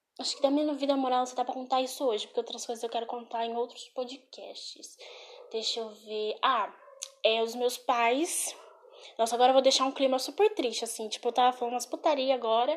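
A woman at a high pitch with ordinary pitch variation and a fairly quick pace. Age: 20s. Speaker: podcaster. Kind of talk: casual chat. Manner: animated.

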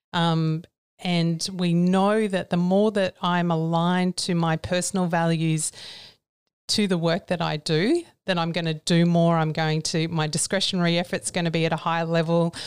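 With an Australian accent, a woman with a fairly low voice speaks at a moderate pace in a flat monotone. Her loudness stays very even, and the recording is very clean with a silent background. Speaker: psychologist and company CEO. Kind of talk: interview. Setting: studio.

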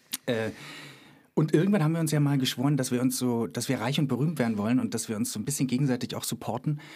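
A very fast-talking man with a medium pitch, a dark, mellow tone and ordinary pitch variation, on a very clean recording with a silent background. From Germany, Cottbus (Brandenburg). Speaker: podcast host, actor and author. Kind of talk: casual chat. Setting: studio.

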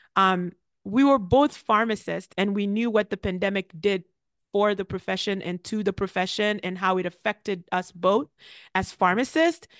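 A woman in an ordinary speaking voice, medium in pitch, at a moderate pace with ordinary pitch variation against a quiet background. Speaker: pharmacist podcast host. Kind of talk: casual chat.

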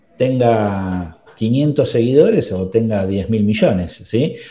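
A dark, mellow tone with ordinary pitch variation carries through audible room echo. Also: man. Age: 40s. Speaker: podcast host, marketing consultant. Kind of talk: casual interview chat.

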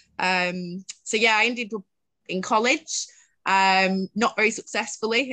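This woman has a Mancunian accent and a bright, sharp tone, with ordinary pitch variation, a dry, close sound with no echo, and a quiet background. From Greater Manchester, Bury. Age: 30s. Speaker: social entrepreneur, homelessness advocate. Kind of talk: interview, personal life story.

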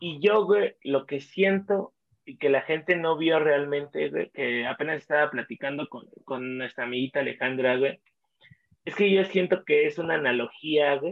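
A man speaks with a Mexican accent at a fairly slow pace. His pitch is fairly high. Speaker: podcast co-host. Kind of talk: casual chat.

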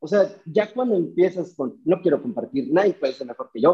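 Here a man talks at a very fast pace. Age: 30s. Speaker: car detailing business owner. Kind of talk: interview.

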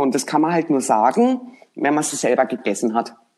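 With very wide swings in pitch, a woman talks at a moderate pace. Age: 50s. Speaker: HR professional. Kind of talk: casual chat. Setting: remote call.

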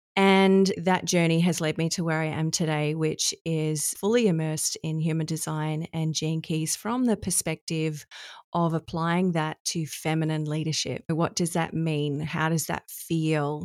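A woman with an Australian accent and a fairly low pitch speaks fairly slowly with fairly even intonation, the sound dry and close with no echo on a very clean recording with a silent background. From Australia, Adelaide. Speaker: human design coach. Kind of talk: podcast interview.

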